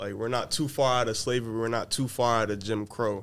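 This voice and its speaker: A man's plain, everyday voice at a medium pitch and a fairly quick pace. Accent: American. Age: young. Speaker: college student. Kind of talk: casual chat.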